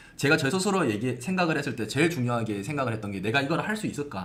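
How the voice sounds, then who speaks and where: Over noticeable background noise and audible room echo, a man speaks very fast at a medium pitch with lively intonation. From South Korea, Gyeongsang region (Gimhae). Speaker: hospital blog marketing expert. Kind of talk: live-stream Q&A.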